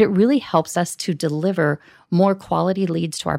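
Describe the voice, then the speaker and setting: A woman with an American accent speaks at a fairly quick pace in a plain, everyday voice. Her pitch is fairly low with ordinary variation, and the recording is very clean with a silent background. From US Midwest. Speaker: corporate event manager. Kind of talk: interview.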